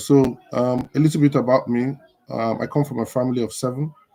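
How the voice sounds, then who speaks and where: With a Nigerian accent, a man talks at a medium pitch with fairly even intonation. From northern Nigeria (Kaduna). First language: Igbo. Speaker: live show host. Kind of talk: casual livestream talk. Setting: social media livestream.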